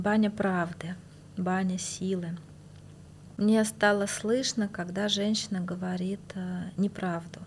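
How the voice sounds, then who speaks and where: Very slowly and with long, frequent pauses, a woman at medium pitch speaks in a somewhat breathy, flat monotone. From Moscow, Russia. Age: 40s. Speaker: bathhouse practitioner and healer. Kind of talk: casual interview.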